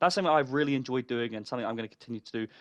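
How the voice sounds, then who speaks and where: Against a quiet background, a man speaks at a medium pitch with ordinary pitch variation. The sound is dry and close, with no echo. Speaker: gaming content creator. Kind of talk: casual vlog-style talk to viewers. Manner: fast.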